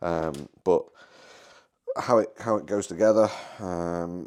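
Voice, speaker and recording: A man speaks with a British accent. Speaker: maker and seller of 3D-printed device cases. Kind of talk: product demo tutorial. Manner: halting, full of fillers and false starts; casual, informal.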